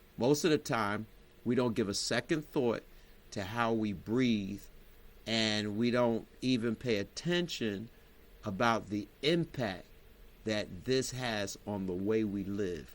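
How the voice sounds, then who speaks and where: A man's medium-pitched voice, with ordinary pitch variation, moves at a very slow pace. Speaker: wellness teacher and bishop. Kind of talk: motivational wellness talk.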